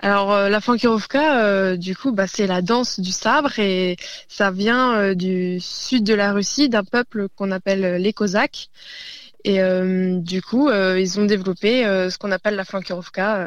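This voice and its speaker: Her pace is very slow. The woman's pitch is medium, with ordinary variation. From Burgundy, France (northern Côte-d'Or). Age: 20s. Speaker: traditional dancer and teacher. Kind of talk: radio interview. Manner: hesitant, many fillers.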